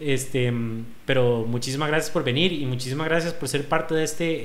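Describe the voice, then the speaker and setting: There is audible room echo as a man with a Costa Rican accent talks at a fairly quick pace with fairly even intonation. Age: 30s. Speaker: podcast host, fitness gym owner. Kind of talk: casual chat; sales pitch.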